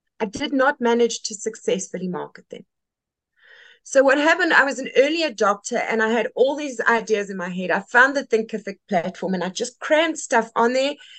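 A fairly quick, animated voice in a South African accent, with lively intonation and big swings in loudness. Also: woman, high pitch for a woman. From South Africa, Western Cape. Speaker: textile community leader. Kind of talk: casual interview. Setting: video call.

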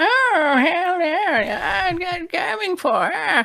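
An extremely high, put-on character voice with very wide pitch swings speaks very slowly over light background noise. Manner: aggressive, gleeful.

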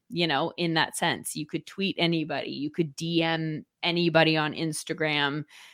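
A woman with an American accent speaks in a fairly low pitch in a very clean recording with a silent background. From Southern California (Orange County). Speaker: sports broadcaster. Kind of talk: casual interview.

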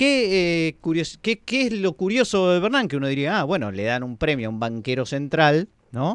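The background is quiet as a man talks at a fairly quick pace. His fairly high pitch moves in very wide swings. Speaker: radio host. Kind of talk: radio show on economics.

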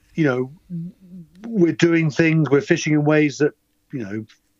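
In an ordinary speaking voice, a man talks at a fairly slow pace with fairly high pitch and a dry, close sound with no echo. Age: 50s. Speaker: angler and fishing writer. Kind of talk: casual chat.

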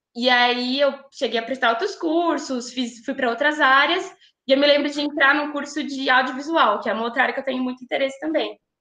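Raised and projected, a woman's high voice has a bright, sharp tone and ordinary pitch variation. She talks at a fairly quick pace. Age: 20s. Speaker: pedagogy student. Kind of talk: casual chat.

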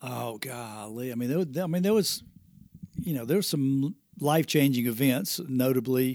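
In a strong Southern US accent, a man talks fairly slowly at a medium pitch. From US South, Spartanburg, South Carolina. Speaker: floor covering business owner. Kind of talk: casual interview. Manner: mumbling at times.

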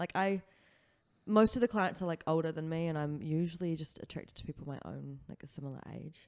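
A woman with a New Zealand accent talks at a fairly quick pace, her fairly low voice dark and mellow in tone, with lively intonation. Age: 20s. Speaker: comedian and sex worker. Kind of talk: casual chat.

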